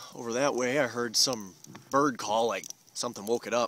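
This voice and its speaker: Noticeable background noise runs under a man speaking at a fairly slow pace. His medium pitch carries fairly even intonation. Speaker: solo backpacker vlogger. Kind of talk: video diary. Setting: outdoors at night campsite.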